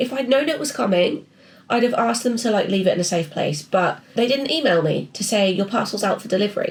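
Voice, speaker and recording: With an English accent, a woman talks at a fairly quick pace. Her intonation is lively. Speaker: artist and illustrator vlogger. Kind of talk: casual vlog chat. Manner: chatty, rambling.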